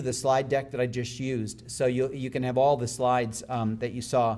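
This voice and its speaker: A man talks at a very fast pace, and audible room echo follows his words. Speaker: speaker on family wealth advising. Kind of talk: conference talk.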